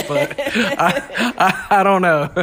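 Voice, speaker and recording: This is a man with an American accent. Noticeable background noise runs behind him. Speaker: podcast guest, host's brother. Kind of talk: casual chat.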